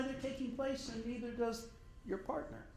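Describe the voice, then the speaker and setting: A man speaks at a moderate pace in an extremely high pitch, with noticeable background noise and audible room echo. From Oklahoma. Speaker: professor. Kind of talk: lecture. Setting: dinner talk. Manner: conversational.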